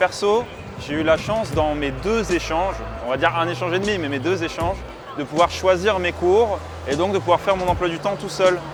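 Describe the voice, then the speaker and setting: Music plays in the background. Over it, a man speaks with a high pitch for a man. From eastern France, Metz. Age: 20s. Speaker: exchange student. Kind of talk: casual interview. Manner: casual, hesitant with fillers.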